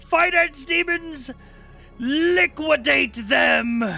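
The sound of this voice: In a put-on character voice, high-pitched and raised to project, someone speaks at a very slow pace over clear background music.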